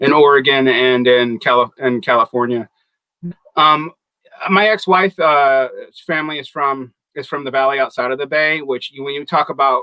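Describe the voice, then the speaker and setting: Recorded with a dry, close sound and no echo, a man with a fairly high pitch speaks at a moderate pace in an American accent. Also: ordinary pitch variation. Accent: Southern, comes out at times. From US South (Macon, Georgia). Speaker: podcast panelist. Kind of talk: casual panel discussion.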